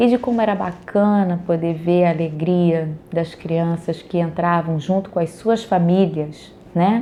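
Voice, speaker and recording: With noticeable background noise behind her, a soft-spoken woman with a fairly low pitch speaks at a fairly slow pace, her loudness very even and her intonation fairly even. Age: 40s. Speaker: early childhood educator. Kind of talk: personal storytelling monologue.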